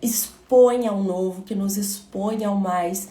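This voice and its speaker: The speech is very slow. Room echo is audible throughout. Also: woman. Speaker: motivational speaker. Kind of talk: livestream talk.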